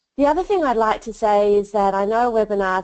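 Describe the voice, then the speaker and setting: This is a woman speaking with an Australian accent. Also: quiet background. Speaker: leadership researcher and coach. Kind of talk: webinar presentation. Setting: webinar.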